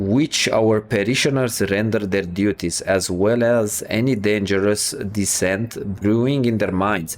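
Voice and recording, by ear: The voice reads aloud in a natural way.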